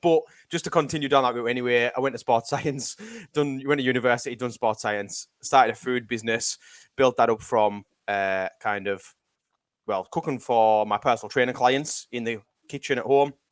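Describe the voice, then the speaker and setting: Someone with a Cumbrian accent speaks at a moderate pace with ordinary pitch variation, in a dry, close, echo-free sound on a very clean recording with a silent background. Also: man, medium pitch for a man. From northern England, West Cumbria. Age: 30s. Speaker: self-development coach. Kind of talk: podcast interview.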